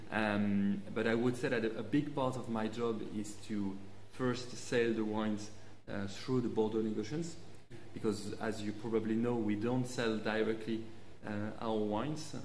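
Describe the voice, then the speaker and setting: Amid light background noise and audible room echo, a man with a fairly low pitch speaks at a moderate pace with fairly even intonation and long, frequent pauses. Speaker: guest. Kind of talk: interview answer. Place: studio.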